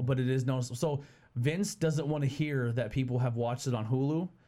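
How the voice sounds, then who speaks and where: Speaking at a very fast pace with very even loudness, a man uses a medium-pitched, somewhat breathy voice with a dark, mellow tone and ordinary pitch variation. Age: 30s. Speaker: podcast host. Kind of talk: casual chat. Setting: studio. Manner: casual, rambling.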